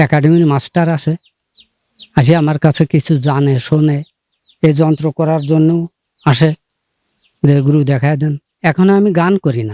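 Recorded with a dry, close sound and no echo, a man speaks in a fairly high pitch with a dark, mellow tone. His intonation is fairly even and his loudness very even. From Bangladesh, Jashore. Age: 70s. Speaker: folk singer and poet. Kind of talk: interview.

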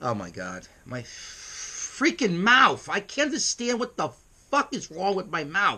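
A bright, sharp tone with very wide pitch swings, a fairly slow pace and a New York accent. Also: man, high pitch for a man. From US Northeast, New York City. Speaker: internet radio host. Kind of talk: casual vlog monologue. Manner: brash, emphatic; halting, stumbling over words. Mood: irritated, boastful. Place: home room. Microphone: webcam.

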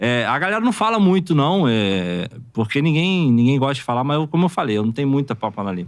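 A man's fairly high voice at a fairly quick pace, with very wide pitch swings and a quiet background. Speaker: former professional footballer; guest. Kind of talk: casual podcast interview. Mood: frank, critical. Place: studio. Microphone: studio mic.

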